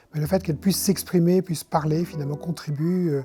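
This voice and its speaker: Fairly high for a man, his voice has a dark, mellow tone and fairly even intonation. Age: 70s. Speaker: palliative care volunteer. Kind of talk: testimony. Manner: halting, with repetitions and hesitations.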